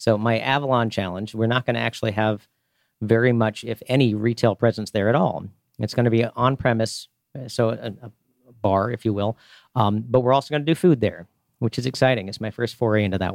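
In a very clean recording with a silent background and a dry, close sound with no echo, a man speaks in a normal speaking voice at medium pitch with fairly even intonation. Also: fairly quick pace. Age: 40s. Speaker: craft beer retail store owner. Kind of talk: radio interview. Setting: studio.

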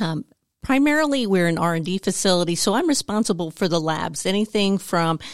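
An unremarkable speaking voice from a woman at a fairly low pitch, with a dry, close sound, no echo, and a very clean recording with a silent background. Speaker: site manager at a materials company. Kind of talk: casual radio interview. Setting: studio.

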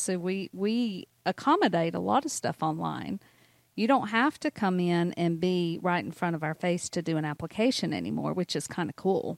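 A woman with a Southern US accent speaks at a moderate pace in a fairly low pitch. The recording is very clean, with a silent background and a dry, close sound with no echo. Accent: Southern US (Georgia). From US South, North Georgia. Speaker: mortgage banker. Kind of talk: casual chat.

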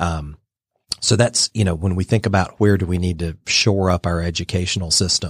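In a very clean recording with a silent background and a dry, close sound with no echo, a man with an American accent talks at a fairly quick pace in a very deep, low pitch that is somewhat breathy. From US South, Georgia (Dalton, Northwest Georgia). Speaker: think tank president. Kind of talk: radio interview.

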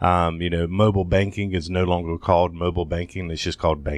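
Speaking at a very fast pace, a man with an American accent has a very deep, low pitch and a monotone, flat intonation, in a very clean recording with a silent background. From southern Georgia, US (Thomasville). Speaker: health tech company founder. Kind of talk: interview. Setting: studio.

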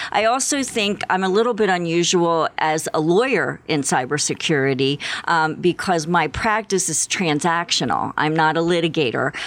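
In a normal speaking voice, a woman with an American accent talks at a moderate pace, fairly low in pitch, with lively intonation and very even loudness. The recording is very clean, with a silent background. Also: hardly any pauses. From Philadelphia area, US. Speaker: business and cybersecurity lawyer. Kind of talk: radio interview.

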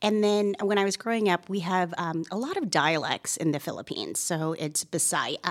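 A woman with a normal speaking voice, medium pitch and ordinary pitch variation, at a moderate pace with hardly any pauses. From Canada, Toronto. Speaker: estate planning attorney. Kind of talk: interview. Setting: studio.

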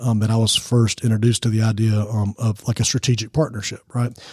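In a very clean recording with a silent background and a dry, close sound with no echo, a man with an American accent talks very fast at a medium pitch, his tone dark and mellow, somewhat breathy, with monotone, flat intonation. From US South, Georgia. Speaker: nonprofit founder, former youth minister. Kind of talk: radio interview. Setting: studio. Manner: preacher-like delivery.

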